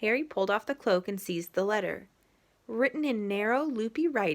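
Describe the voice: With lively intonation, the plain reading aloud moves along.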